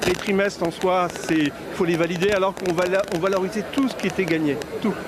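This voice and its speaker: Over noticeable background noise, a man with a high pitch speaks at a fairly quick pace with fairly even intonation. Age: 60s. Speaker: trade union representative. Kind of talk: street interview. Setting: outdoors at a street protest. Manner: halting, repetitive.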